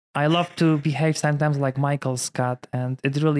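A man with a Polish accent at a fairly high pitch, fairly quick pace and monotone, flat intonation, in a dry, close sound with no echo. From Poland. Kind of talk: casual interview chat.

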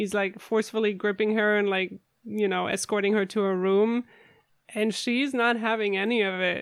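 A woman speaks at a moderate pace. Her medium pitch stays monotone, with flat intonation. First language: not English. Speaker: podcast host. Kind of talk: casual chat. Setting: remote recording from home.

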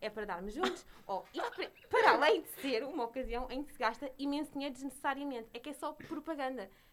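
Against noticeable background noise, a woman talks at a fairly quick pace in a high pitch. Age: young. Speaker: podcast co-host. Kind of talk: casual chat.

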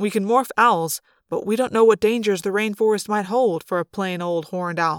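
Quiet background, natural reading voice, ordinary pitch variation

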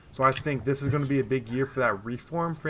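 Using a normal speaking voice, the man talks fairly quickly at a medium pitch. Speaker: esports podcast co-host. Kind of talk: casual chat.

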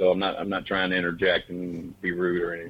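A man in a Southern US accent, very deep and low in pitch, at a very fast pace. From Oklahoma, US. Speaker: horror filmmaker. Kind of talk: casual interview chat.

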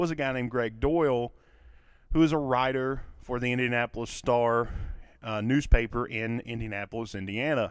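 In a very clean recording with a silent background, a man with a Kentucky accent speaks at a medium pitch and a moderate pace. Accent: Kentucky Southern US. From Kentucky, US. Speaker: podcast host, mental health show, teacher. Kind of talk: solo monologue podcast. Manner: conversational, hesitant with fillers.

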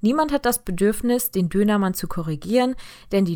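A woman speaks in a normal speaking voice at medium pitch, with lively intonation, on a very clean recording with a silent background. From Germany, Heidelberg, partly raised in Turkey. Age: 20s. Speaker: podcast host, engineering student. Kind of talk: podcast introduction monologue.

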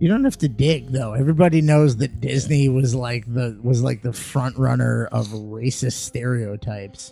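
With music in the background, a man speaks at a medium pitch and a moderate pace, his pitch varying in an ordinary way. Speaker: podcast co-host. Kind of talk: casual banter. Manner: joking, crude humor.

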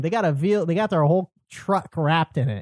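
A man with a dark, mellow tone speaks at a fairly quick pace, the sound dry and close with no echo over a quiet background. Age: 20s. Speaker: podcast host. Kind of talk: casual chat. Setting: home studio, in person.

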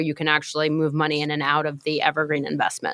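A woman's very deep, low voice with an American accent, at a very fast pace. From New York. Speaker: marketing executive. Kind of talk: interview.

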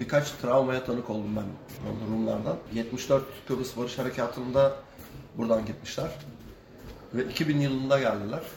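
Audible room echo and noticeable background noise surround a man at medium pitch. He speaks at a moderate pace with fairly even intonation. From Kilitbahir, Çanakkale, Turkey. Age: 50s. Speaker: sailor. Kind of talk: casual interview.

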